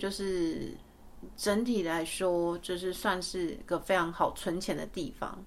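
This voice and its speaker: A woman of medium pitch speaks at a very slow pace in a Taiwanese accent. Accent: Taiwanese Mandarin. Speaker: podcast host. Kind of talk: casual chat. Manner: hesitant, many fillers.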